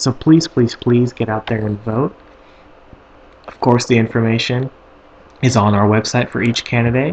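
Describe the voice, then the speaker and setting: Fairly even intonation runs through a man's medium-pitched speech. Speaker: student tech segment host. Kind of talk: tech tutorial. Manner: fast; casual, filler-heavy.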